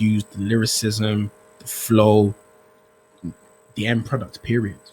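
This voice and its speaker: Noticeable background noise sits under a man's fairly low voice. His intonation is monotone and flat, broken by long, frequent pauses. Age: 30s. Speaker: rapper and producer. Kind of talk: casual chat.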